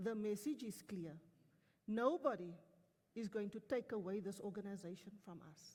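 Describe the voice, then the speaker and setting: A woman at medium pitch speaks in an animated, somewhat breathy tone, with big swings in loudness. Her pace is moderate, broken by long, frequent pauses. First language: Afrikaans. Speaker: company executive. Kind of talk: motivational speech to staff.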